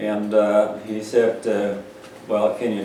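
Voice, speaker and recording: A man with an Upper Midwest accent, amid noticeable background noise and audible room echo. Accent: Upper Midwest American. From North Dakota, Pierce County. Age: 90s. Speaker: war veteran. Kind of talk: oral history interview. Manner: halting.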